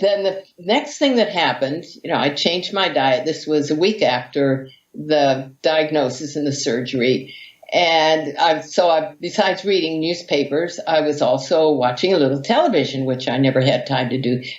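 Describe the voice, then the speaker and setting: This woman has a very deep, low pitch. She talks at a moderate pace with ordinary pitch variation. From US, Hawaii. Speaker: vegan athlete and author. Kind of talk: interview storytelling.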